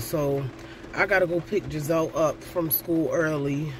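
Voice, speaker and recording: Over noticeable background noise, a woman with a very deep, low pitch speaks with fairly even intonation, the sound dry with no echo. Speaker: vlogger. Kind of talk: casual vlog chat. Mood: stressed, exasperated. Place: car. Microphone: phone near.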